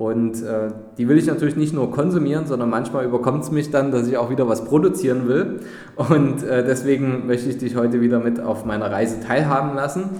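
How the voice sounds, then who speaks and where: Over noticeable background noise and audible room echo, a man talks fairly quickly at a medium pitch with ordinary pitch variation. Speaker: podcast host, investment advisor. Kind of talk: interview; podcast intro. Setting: hotel manager's office.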